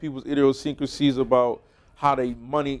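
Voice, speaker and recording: A man speaks with an American accent in a normal speaking voice. His pitch sits fairly high, and he keeps a moderate pace. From US Northeast (Brockton, Massachusetts). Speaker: podcast host, former pro football player. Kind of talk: casual conversation.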